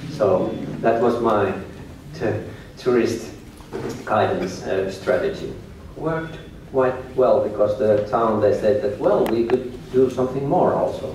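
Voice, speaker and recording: Speaking at a medium pitch with a Finnish accent, a man uses lively intonation and takes long, frequent pauses. The recording has audible room echo and noticeable background noise. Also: fairly slow pace. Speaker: tour guide and business owner. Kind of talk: lecture. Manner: halting.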